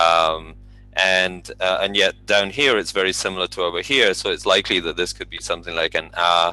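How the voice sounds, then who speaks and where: With a bright, sharp tone and vocal fry, the voice moves at a fairly quick pace through very wide pitch swings. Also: man. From Colombia. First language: Spanish. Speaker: speech technology presenter. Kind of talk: technical presentation. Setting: video call. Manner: halting, many fillers.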